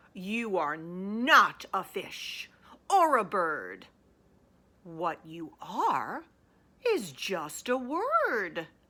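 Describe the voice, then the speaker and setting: Using a put-on character voice of medium pitch, a woman speaks at a very slow pace with long, frequent pauses. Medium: read story. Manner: scowling, didactic.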